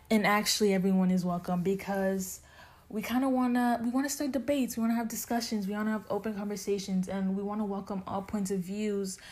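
On a very clean recording with a silent background, a woman speaks in a dark, mellow tone. Her voice is somewhat breathy. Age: 20s. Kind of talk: casual chat.

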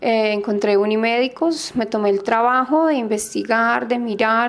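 An ordinary speaking voice delivers its words at a moderate pace with fairly even intonation. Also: woman. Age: 30s. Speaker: patient. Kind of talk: testimony.

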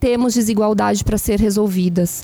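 Her tone is dark and mellow, at a medium pitch. This woman talks at a fairly quick pace. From Brazil, São Paulo. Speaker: journalist and executive. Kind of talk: casual chat. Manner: animated.

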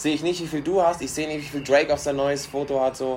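Over noticeable background noise, a man talks at a very fast pace with a fairly high pitch. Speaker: podcast co-host, restaurant worker. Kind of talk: casual chat.

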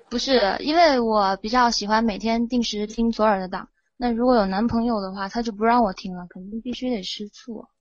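A woman speaks at a fairly quick pace with hardly any pauses, her fairly high pitch held to fairly even intonation while her loudness swings widely. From Guizhou, Guiyang. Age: young. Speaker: caller. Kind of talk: casual chat.

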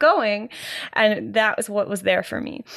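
In a Canadian accent, a woman with an unremarkable speaking voice talks at a fairly slow pace, her pitch fairly high. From Canada. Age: 30s. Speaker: podcast host, musician and dance teacher. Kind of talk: casual solo monologue. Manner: rambling with fillers and sighs.

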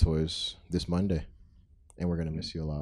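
With a dark, mellow tone, a man speaks in a very deep, low pitch and a monotone, flat intonation. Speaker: podcast host. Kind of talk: casual chat. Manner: stutter.

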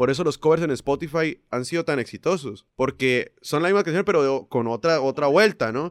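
A man's ordinary speaking voice, fairly high in pitch, at a moderate pace in a dry, close sound with no echo. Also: ordinary pitch variation, hardly any pauses. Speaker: singer, percussionist and music producer. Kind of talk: casual interview conversation.

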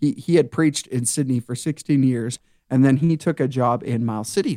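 An American-accented man in an ordinary speaking voice, at a moderate pace, dry and close with no echo. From eastern Montana. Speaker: youth and worship minister. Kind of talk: casual chat. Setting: studio.

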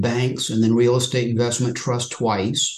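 A somewhat breathy voice at a moderate pace. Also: man. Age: 60s. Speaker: retail options trader, retired financial services professional. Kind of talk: interview.

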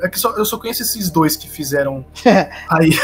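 Music plays in the background as a man speaks. His pitch is fairly high, with ordinary pitch variation. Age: young. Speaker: podcast co-host. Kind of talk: casual chat.

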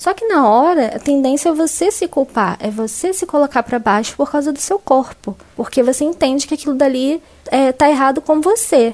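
Through noticeable background noise, a woman speaks at a moderate pace with hardly any pauses. Her pitch is high and her intonation lively. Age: 20s. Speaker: journalist. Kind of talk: testimony.

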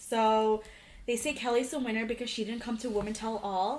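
A woman with a plain, everyday voice speaks at a fairly quick pace, her fairly high pitch held in fairly even intonation. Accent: American. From Virginia. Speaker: podcast host. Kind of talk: casual chat.

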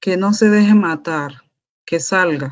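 A woman talks at a medium pitch with ordinary pitch variation against a quiet background. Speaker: exiled teacher and community leader. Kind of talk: testimony.

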